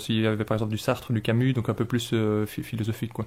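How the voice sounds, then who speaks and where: A man with a fairly low pitch speaks in a monotone with flat intonation. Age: 30s. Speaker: engineer, convert to Islam. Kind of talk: interview testimony. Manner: halting, many hesitations and repetitions.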